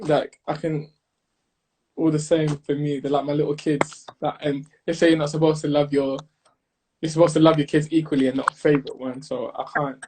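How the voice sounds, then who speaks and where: A somewhat breathy man's voice, fairly high in pitch, with monotone, flat intonation and a fairly quick pace. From North London, England. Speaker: songwriter and recording artist. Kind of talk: casual interview chat.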